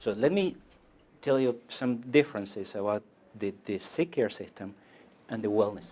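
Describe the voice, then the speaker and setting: A man with a non-native accent speaks at a moderate pace and medium pitch, with ordinary pitch variation, big swings in loudness, and long, frequent pauses. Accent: foreign accent, noticeable. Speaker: medical doctor. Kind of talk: lecture. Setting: stage with audience. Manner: halting, repeats words.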